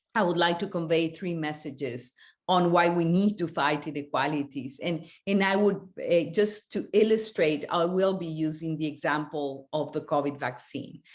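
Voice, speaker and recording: A woman's fairly low-pitched voice with ordinary pitch variation, moderate pace and a quiet background. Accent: non-native. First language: not English. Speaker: panelist. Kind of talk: panel discussion. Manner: halting, many fillers.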